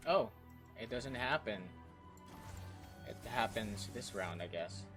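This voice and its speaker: Over background music, a man with a fairly low pitch talks at a very slow pace, his loudness swinging widely and his pitch varying in an ordinary way. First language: not English. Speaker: gamer. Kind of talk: casual gameplay commentary.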